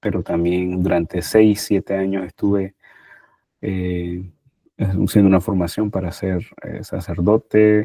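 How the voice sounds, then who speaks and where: Very slowly and with monotone, flat intonation, a man speaks in a very deep, low pitch and a dark, mellow tone, in a dry, close sound with no echo. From Nicaragua. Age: 30s. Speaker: social worker. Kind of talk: interview testimony.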